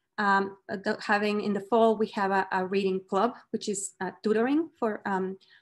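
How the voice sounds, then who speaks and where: The speaker has a Mexican accent and fairly even intonation. Delivery is at a moderate pace with hardly any pauses. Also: woman, medium pitch for a woman. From Mexico. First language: Spanish. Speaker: professor. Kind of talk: lecture. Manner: hesitant, many fillers.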